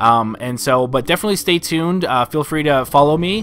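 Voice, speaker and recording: Noticeable background noise under a fairly high male voice with ordinary pitch variation. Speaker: video game streamer. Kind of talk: live gameplay commentary. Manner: pitch rises when excited; hesitant, many fillers.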